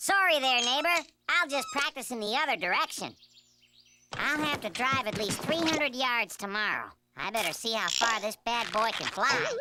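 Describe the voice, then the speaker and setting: A cartoonish character voice with a fairly high pitch. It moves at a moderate pace. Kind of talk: comic cartoon acting. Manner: brash, wisecracking.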